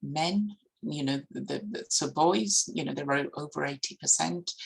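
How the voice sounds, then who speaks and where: Fairly slow delivery with a non-native accent. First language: not English. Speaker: education professor. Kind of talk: conference keynote lecture. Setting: conference. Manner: hesitant with fillers and restarts.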